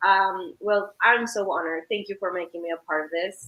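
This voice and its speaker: A woman with a Spanish accent speaks at medium pitch in a bright, sharp tone. Her pace is moderate and her intonation fairly even. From Mexico, San Luis Potosí. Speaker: real estate agent. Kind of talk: live stream interview. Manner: hesitant, many fillers.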